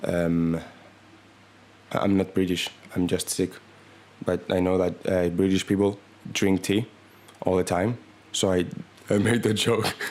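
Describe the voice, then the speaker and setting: A man speaks in a flat monotone at a very deep, low pitch, keeping his loudness very even. His pace is fairly slow, with long, frequent pauses. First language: not English. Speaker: comedy podcaster. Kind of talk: comedic monologue. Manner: halting; deadpan.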